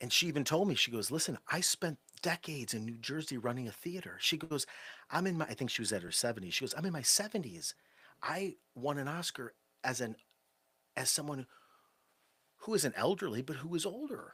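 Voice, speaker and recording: On a very clean recording with a silent background, a man with an American accent speaks in a bright, sharp tone with lively intonation and long, frequent pauses. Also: fairly high pitch for a man, fairly quick pace. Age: 40s. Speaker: storyteller. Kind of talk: late-night storytelling livestream. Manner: animated.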